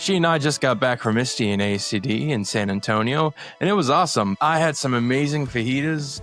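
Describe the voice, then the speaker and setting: Over music in the background, a man talks at a fairly quick pace with hardly any pauses. His intonation is lively and his loudness very even. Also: medium pitch for a man. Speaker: host's son, stand-in host. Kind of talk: podcast intro read.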